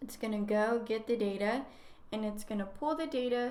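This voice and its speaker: A woman's fairly high-pitched voice at a moderate pace, with fairly even intonation and audible room echo. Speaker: graduate student, guest lecturer. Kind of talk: lecture. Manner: casual.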